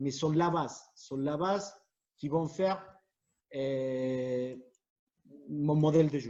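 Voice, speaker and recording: A man with a Spanish accent speaks at a fairly high pitch for a man, his intonation fairly even. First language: Spanish (speaking French). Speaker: futsal coach. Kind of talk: presentation to fellow coaches. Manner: halting, many repetitions and fillers.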